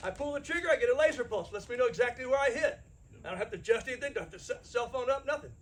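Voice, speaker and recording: Very fast and with lively intonation, a man talks in an extremely high voice. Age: 60s. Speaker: firearms instructor. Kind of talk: lecture. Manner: blunt, plain-spoken.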